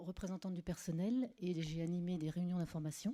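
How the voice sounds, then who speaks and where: Her tone is dark and mellow, her pitch fairly low. This woman keeps her intonation fairly even. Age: 50s. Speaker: municipal election candidate. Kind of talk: self-introduction at a meeting.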